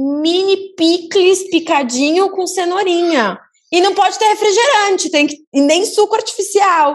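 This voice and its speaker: On a very clean recording with a silent background, a woman is talking. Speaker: podcast host. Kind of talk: casual chat.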